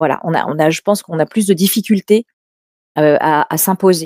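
A woman's fairly low, dark and mellow voice in a dry, close recording with no echo. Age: 50s. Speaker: public speaking coach and agency head. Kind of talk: interview. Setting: live stream.

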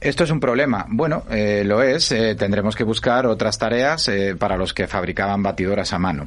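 A man with an unremarkable speaking voice, fairly low in pitch, with lively intonation, very even loudness and a moderate pace. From Spain, Asturias. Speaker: innovation foundation director. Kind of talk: interview.

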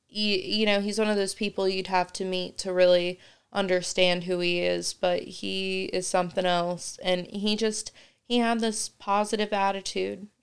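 Delivered in a Midwestern American accent, the speech moves at a fairly slow pace with monotone, flat intonation on a very clean recording with a silent background. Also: woman. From Indiana, Kokomo. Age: 20s. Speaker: stay-at-home mother, cancer survivor. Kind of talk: casual chat.

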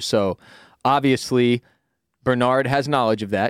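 A man with an ordinary speaking voice, medium in pitch, with ordinary pitch variation and a fairly quick pace, recorded dry and close with no echo, very clean with a silent background. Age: 30s. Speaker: podcast co-host. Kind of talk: casual chat.

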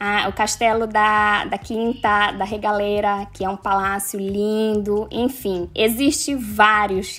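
The recording is very clean with a silent background. The voice is monotone and flat, at a very slow pace with hardly any pauses. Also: woman, medium pitch for a woman. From Manaus, northern Brazil. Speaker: social media influencer. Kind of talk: casual interview.

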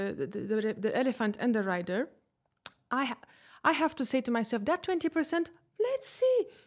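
Very wide pitch swings in a Romanian accent. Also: woman. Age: 30s. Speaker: public speaking and executive coach. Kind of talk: casual interview. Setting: studio. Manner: animated.

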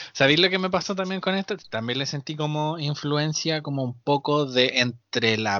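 Here a man talks with a Chilean accent at a fairly slow pace. His fairly high voice has lively intonation. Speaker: podcast co-host. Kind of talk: casual chat. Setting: remote recording from home.

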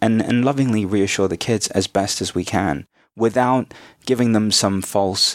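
In a very clean recording with a silent background and a dry, close sound with no echo, a man uses a plain, everyday voice with ordinary pitch variation at a moderate pace. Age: 30s. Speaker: spiritual teacher. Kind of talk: interview.

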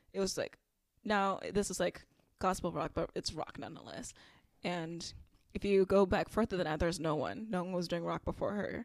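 A woman with an ordinary speaking voice talks at a medium pitch and a fairly quick pace. Her pitch variation is ordinary, in a very clean recording with a silent background. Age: 20s. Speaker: podcast co-host. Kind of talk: casual chat.

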